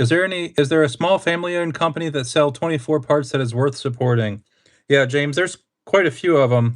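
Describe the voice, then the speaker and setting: A man's fairly high voice with a Pennsylvania accent, at a very fast pace and with ordinary pitch variation. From Pennsylvania, US. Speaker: RC hobbyist streamer. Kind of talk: casual live stream chat. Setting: live stream.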